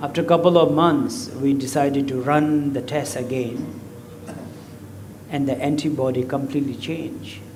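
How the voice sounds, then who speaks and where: A man's fairly high voice at a moderate pace, with fairly even intonation and noticeable background noise. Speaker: Buddhist lama. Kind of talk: dharma talk. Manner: talkative.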